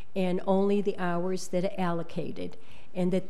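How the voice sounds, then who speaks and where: A woman talks at a fairly slow pace in a monotone, flat delivery. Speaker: resident giving public comment. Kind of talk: public comment address to council. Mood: concerned, earnest. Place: hall. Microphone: podium.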